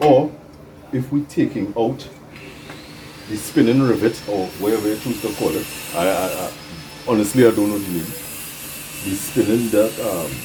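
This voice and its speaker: At a moderate pace, the speaker uses lively intonation with long, frequent pauses over noticeable background noise. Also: man, medium pitch for a man. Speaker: bonsai hobbyist video host. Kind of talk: casual DIY tutorial.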